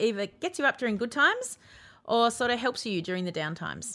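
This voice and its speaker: A woman with an Australian accent talks at a fairly quick pace in a bright, sharp tone, in a very clean recording with a silent background. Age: 40s. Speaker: podcast host. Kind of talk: casual chat.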